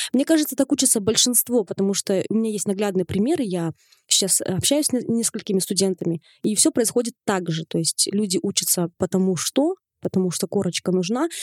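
In an unremarkable speaking voice, a woman talks at a fairly quick pace and medium pitch with lively intonation. The sound is dry and close, with no echo. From Kazakhstan. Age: 20s. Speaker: fashion blogger. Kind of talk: interview. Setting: studio.

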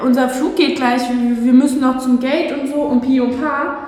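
The recording has noticeable background noise and audible room echo. Through it, a woman speaks at a high pitch. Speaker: podcast co-host. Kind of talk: casual chat. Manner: animated. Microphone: room echo, not the proper microphone.

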